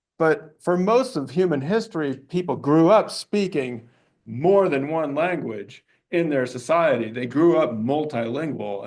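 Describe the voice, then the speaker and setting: A man with a Montana accent talks at a moderate pace. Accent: Montana-inflected English. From US, Montana. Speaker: anthropology professor. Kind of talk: lecture.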